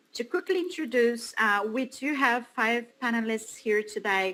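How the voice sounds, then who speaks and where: With a Portuguese accent, a woman talks at a fairly slow pace in a fairly high pitch, her tone bright and sharp and her pitch variation ordinary. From Brazil. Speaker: panel moderator. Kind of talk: panel moderation. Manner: halting, many fillers.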